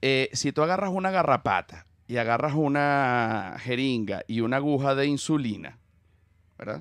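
Over a quiet background, a man speaks at a moderate pace with lively intonation in a dry sound with no echo. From Venezuela. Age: 40s. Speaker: comedian. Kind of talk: casual chat. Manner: animated. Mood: playful, humorous. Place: studio. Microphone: studio mic.

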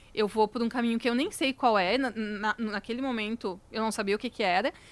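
A woman's fairly high voice shifts in pitch in an ordinary way as she talks at a moderate pace. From Santa Catarina, Brazil (Lages); Santa Catarina, Brazil. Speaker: founder of a cosmetics brand; podcast guest. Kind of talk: casual interview chat. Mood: reflective, warm. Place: studio. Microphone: studio mic.

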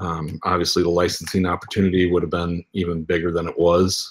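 Quiet background behind a man with an American accent. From Michigan. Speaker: former toy and game product manager. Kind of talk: interview. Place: home room. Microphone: video call.

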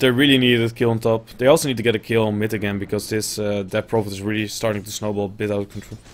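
Speaking with a Dutch accent, this voice races along at a very fast pace with hardly any pauses and fairly even intonation. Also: man, fairly low pitch for a man. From Netherlands. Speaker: esports caster. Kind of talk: live commentary.

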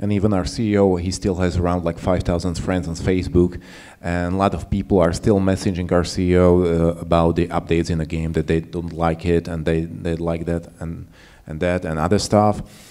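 A man's very deep, low voice, dark and mellow in tone, monotone and flat, at a moderate pace. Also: quiet background. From Slovakia. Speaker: UX game designer; panelist. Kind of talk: conference panel discussion. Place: hall. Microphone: handheld.

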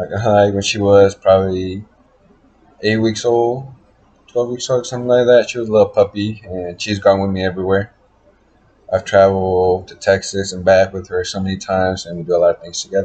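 Speaking at a fairly quick pace, a man has a somewhat breathy voice with a dark, mellow tone. His intonation stays fairly even. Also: fairly low pitch for a man. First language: Spanish heritage, bilingual. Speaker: college student. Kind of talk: class introduction video. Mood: relaxed, slightly awkward. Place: home room. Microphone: webcam.

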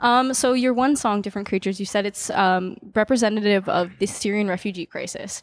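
An unremarkable speaking voice moves at a fairly quick pace. The sound is dry with no echo. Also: woman. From Niagara Falls, Ontario, Canada; Ontario, Canada. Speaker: music interviewer. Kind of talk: casual interview. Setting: backstage before a concert. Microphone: handheld.

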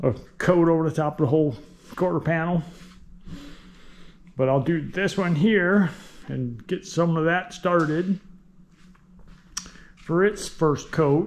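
With ordinary pitch variation, a man keeps to a moderate pace. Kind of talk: tutorial. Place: garage. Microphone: phone near.

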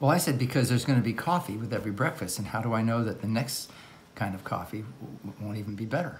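With light background noise, a man talks at a very fast pace and with ordinary pitch variation. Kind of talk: casual vlog chat. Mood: playful, joking. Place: kitchen. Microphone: phone near.

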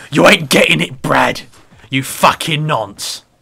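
A man puts on a gruff character voice in a Cockney accent. It is medium in pitch and fairly slow. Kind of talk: rough slangy.

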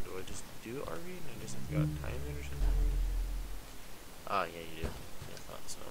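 The speech moves at a fairly quick pace but has long, frequent pauses. Loud background noise is present throughout. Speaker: gaming channel host. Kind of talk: gameplay commentary.

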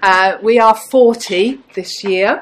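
A woman speaks over light background noise. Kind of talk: presentation. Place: hall.

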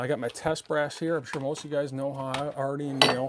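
Quiet speech with fairly even intonation sits under loud background noise. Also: man. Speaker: firearms reloading hobbyist youtuber. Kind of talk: tutorial. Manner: casual. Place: garage.

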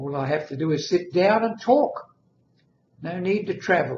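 A man's somewhat breathy voice at a very slow pace with ordinary pitch variation, set against light background noise and audible room echo. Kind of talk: casual vlog chat. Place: home room. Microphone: webcam.

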